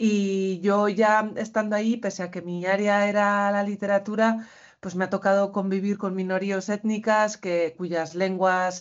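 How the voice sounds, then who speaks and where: A woman talks at a fairly slow pace in a medium pitch. Her intonation stays monotone and flat. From Basque Country, Spain. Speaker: university lecturer, co-author. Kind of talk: panel talk at academic conference. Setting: university conference with audience.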